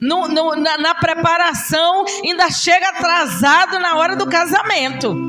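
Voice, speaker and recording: The speaker talks at a fairly slow pace. Noticeable background noise runs underneath. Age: 60s. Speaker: preacher. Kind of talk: sermon.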